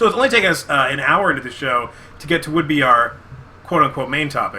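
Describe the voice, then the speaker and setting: A man speaks at a very fast pace. His pitch variation is ordinary. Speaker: podcast co-host. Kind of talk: casual chat. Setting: live video podcast. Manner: sudden loud spikes in volume.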